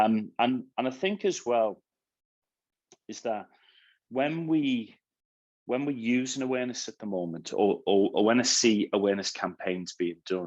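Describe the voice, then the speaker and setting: A man's medium-pitched voice in a Liverpool accent, with lively intonation, a moderate pace, long, frequent pauses and a quiet background. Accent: Scouse. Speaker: cybersecurity awareness speaker. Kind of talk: webinar talk. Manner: halting, many repeated words.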